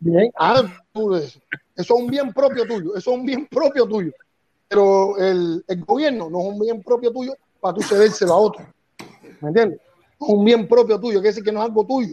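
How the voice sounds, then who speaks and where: A man talks at a moderate pace with a dark, mellow tone. His pitch is high, with ordinary variation. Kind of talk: heated debate.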